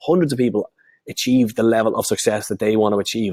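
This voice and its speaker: A man speaks with a Dublin accent at a medium pitch, his tone animated. The sound is dry and close, with no echo. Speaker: online marketing coach. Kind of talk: webinar sales pitch; live training webinar. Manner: slurring words; animated, repetitive.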